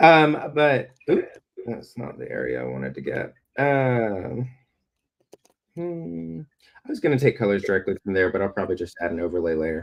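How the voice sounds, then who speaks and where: A man with a slight Southern US accent speaks at a moderate pace, leaving long, frequent pauses. His fairly low pitch takes very wide swings, and his loudness swings widely too. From US South, Alabama (Birmingham). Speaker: comic illustrator. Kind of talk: live-stream drawing demo. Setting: live stream. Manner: halting, many fillers.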